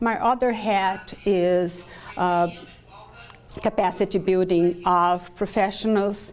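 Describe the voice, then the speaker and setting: Using a Brazilian Portuguese accent, a woman speaks at a very slow pace with a medium pitch. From southern Brazil. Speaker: professor and clinical psychologist. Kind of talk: lecture.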